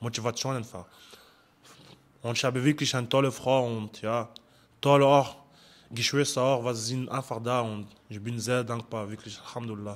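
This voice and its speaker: A man with a French accent speaks at a medium pitch and a moderate pace, with monotone, flat intonation. Long, frequent pauses break up his speech. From France, Paris suburbs. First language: French (speaking German). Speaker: amateur fighter. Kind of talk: interview.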